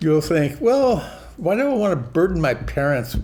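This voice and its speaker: A man's voice, with ordinary pitch variation, is heard against noticeable noise behind him. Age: old. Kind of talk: casual talk to camera.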